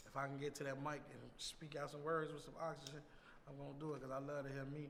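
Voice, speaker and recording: Audible room echo trails a man as he rattles off words at a very fast pace. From Chicago, west side. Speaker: rapper. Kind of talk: casual interview.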